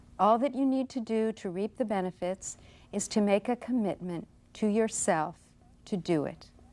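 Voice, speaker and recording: At a moderate pace and medium pitch, a woman speaks in a calm tone with a dark, mellow quality and ordinary pitch variation, on a very clean recording with a silent background. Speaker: yoga instructor. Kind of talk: guided instruction.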